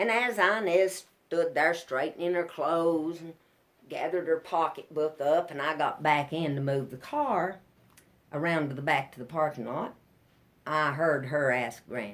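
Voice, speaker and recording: With a Southern Appalachian accent, a woman speaks at a moderate pace in a very deep, low pitch with ordinary pitch variation. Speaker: storyteller, ballad singer, banjo player. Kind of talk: live storytelling to an audience.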